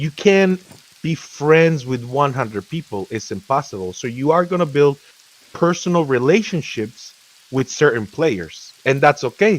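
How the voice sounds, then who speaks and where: This man talks with lively intonation at a fairly high pitch. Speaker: gamer, guild leader. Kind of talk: casual chat. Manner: fast; animated.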